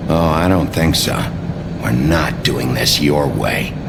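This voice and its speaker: A man puts on a character voice and speaks at a fairly slow pace. Loud noise fills the background. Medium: machinima. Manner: gruff, terse.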